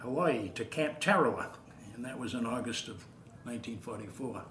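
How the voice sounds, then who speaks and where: An American-accented man talks with ordinary pitch variation, and room echo can be heard. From Massachusetts (Waltham). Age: 80s+. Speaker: war veteran. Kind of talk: elder veteran's oral-history interview, recalling 1940s wartime combat. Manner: measured, unhurried recollection with frequent 'uh' hesitations; repeats words when searching, halting at emotional points.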